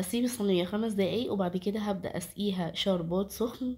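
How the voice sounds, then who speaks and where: Her tone is dark and mellow, somewhat breathy, at a medium pitch. The woman keeps a moderate pace and fairly even intonation. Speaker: cooking channel host. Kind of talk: cooking tutorial.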